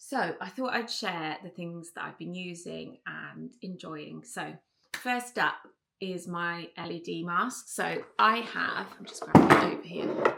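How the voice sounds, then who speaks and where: A woman with an English accent, fairly slow, with ordinary pitch variation. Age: 40s. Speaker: beauty and lifestyle vlogger. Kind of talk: casual chat. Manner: chatty, many fillers.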